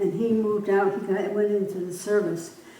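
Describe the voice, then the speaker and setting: A woman with an American accent is heard with noticeable background noise and audible room echo. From upstate New York, Columbia County. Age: 90s. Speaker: local elder interviewed for oral history. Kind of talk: oral history interview. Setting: library room. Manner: halting.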